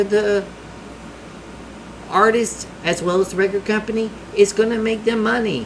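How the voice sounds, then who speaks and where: Noticeable background noise sits behind a man with a strong Southern US accent. He talks at a moderate pace in a high pitch, with ordinary pitch variation. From US South. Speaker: music reaction youtuber. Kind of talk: casual reaction commentary.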